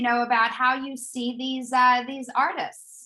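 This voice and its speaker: A woman speaks in a raised, projected voice with a high pitch and a bright, sharp tone. Her intonation is fairly even and her pace fairly slow. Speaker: corporate trainer leading a professional development session. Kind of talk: interactive online workshop presentation. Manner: hesitant, many fillers and restarts.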